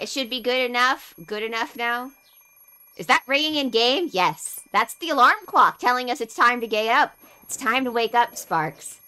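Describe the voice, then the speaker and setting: A loud woman at a high pitch, her bright, sharp tone carrying lively intonation at a moderate pace. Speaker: vtuber streamer. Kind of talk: casual chat. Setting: live stream with co-host on Discord.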